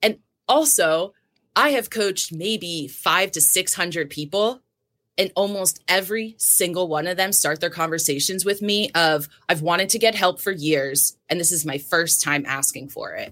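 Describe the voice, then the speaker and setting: A woman has a plain, everyday voice with an American accent, pitched fairly low with ordinary pitch variation. She speaks at a moderate pace on a very clean recording with a silent background. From New Jersey. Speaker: health and wellness coach. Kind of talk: interview.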